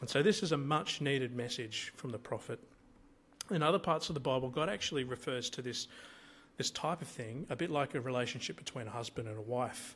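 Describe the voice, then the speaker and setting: Talking at a fairly quick pace, a man with an Australian accent and medium pitch uses ordinary pitch variation. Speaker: lay preacher. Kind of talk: sermon. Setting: church. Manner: hesitant, many fillers.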